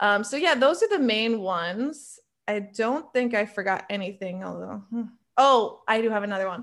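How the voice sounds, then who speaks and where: A woman with a normal speaking voice talks at a moderate pace, her pitch fairly high with ordinary variation. The recording is very clean, with a silent background. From New York State. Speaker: travel content creator. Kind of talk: interview.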